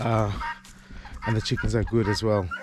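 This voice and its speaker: A man speaks at a medium pitch for his voice. Noticeable background noise runs under the recording. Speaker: vlogger and chicken farmer. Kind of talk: casual vlog. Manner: hesitant with fillers.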